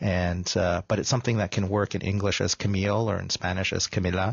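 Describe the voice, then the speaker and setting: Somewhat breathy and very deep, a man with a Canadian accent speaks with fairly even intonation. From Canada, mostly Toronto. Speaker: filmmaker. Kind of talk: radio interview. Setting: radio studio.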